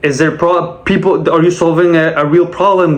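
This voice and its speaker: With a Quebec accent and a high pitch, a man speaks at a fairly quick pace against noticeable background noise. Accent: Québécois French accent in English. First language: French. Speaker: sales rep and vlogger. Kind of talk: casual monologue vlog.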